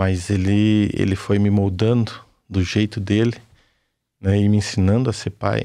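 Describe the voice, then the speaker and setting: A man speaks fairly slowly in a fairly low pitch with a dark, mellow tone and a flat, monotone delivery. The recording is very clean, with a silent background. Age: 50s. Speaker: construction worker. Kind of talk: testimony.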